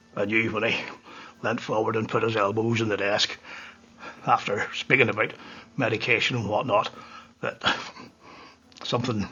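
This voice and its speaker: Speaking at a moderate pace with long, frequent pauses, a man keeps a medium pitch and a monotone, flat intonation while noticeable background noise plays behind him. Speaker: whiskey reviewer. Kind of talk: casual monologue.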